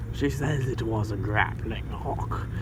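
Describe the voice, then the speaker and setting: A man puts on a character voice and speaks fairly slowly against loud background noise. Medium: read story. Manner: sickly sweet yet menacing.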